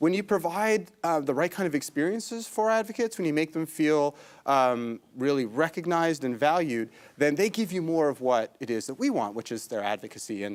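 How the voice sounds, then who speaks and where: A man with a slight Canadian accent and fairly high pitch speaks at a fairly quick pace. His pitch swings very widely on a very clean recording with a silent background. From Canada, Toronto. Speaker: tech company CEO and entrepreneur. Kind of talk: talk show interview.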